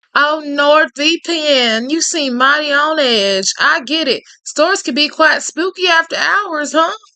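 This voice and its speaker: A woman puts on a character voice in a Louisiana accent, high-pitched and drawling at a fairly slow pace. Her intonation is lively, and she hardly pauses at all. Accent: Cajun Southern drawl. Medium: game stream. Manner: drawling, falsely sweet, calls others honey.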